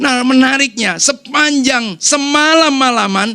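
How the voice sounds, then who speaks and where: With a bright, sharp tone, a man talks in an animated tone using a raised, projected voice. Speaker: pastor. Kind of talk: sermon. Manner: animated, conversational.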